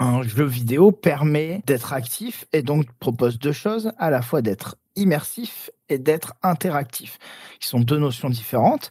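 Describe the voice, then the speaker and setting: A fairly high-pitched man speaks at a fairly slow pace with lively intonation, the sound dry and close with no echo. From southern France. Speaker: video game director. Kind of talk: interview. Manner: halting.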